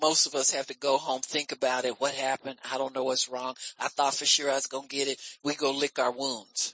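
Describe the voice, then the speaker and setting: A very deep, low-pitched woman's voice, animated in tone and fairly quick in pace. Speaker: preacher. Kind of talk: sermon, teaching-style preaching to a live congregation. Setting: church. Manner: animated, conversational preaching, calling for amens; folksy and teasing, frequent repeated amens and fillers.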